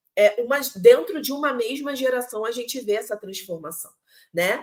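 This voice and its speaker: With a Rio de Janeiro accent, a woman speaks at a moderate pace using lively intonation. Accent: Carioca Brazilian Portuguese. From Rio de Janeiro, Brazil. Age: 40s. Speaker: teacher. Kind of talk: online lecture. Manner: hesitant, many fillers and repetitions.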